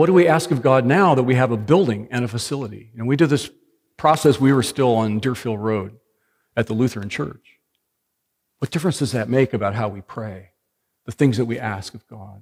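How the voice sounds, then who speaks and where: A man with a normal speaking voice talks at a medium pitch and fairly quick pace, with ordinary pitch variation. His loudness swings widely on a very clean recording with a silent background. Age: 60s. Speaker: pastor. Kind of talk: sermon.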